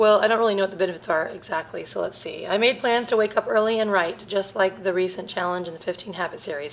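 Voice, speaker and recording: A woman at a very fast pace, with light background noise. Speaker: family vlogger. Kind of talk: casual vlog chat. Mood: chatty, self-reflective, laughing. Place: home room. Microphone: phone near.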